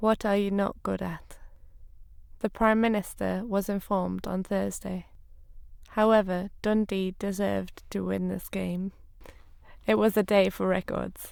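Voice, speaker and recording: With an English accent, a woman speaks at a fairly slow pace, leaving long, frequent pauses. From Northern England. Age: 20s. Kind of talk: read-aloud sentences for speech corpus.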